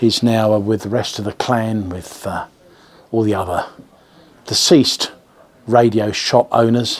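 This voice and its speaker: A man with an English accent at medium pitch, fairly slow and fairly even, broken by long, frequent pauses. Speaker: radio shop owner and video host. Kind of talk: casual video address. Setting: in the shop. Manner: hesitant, many fillers.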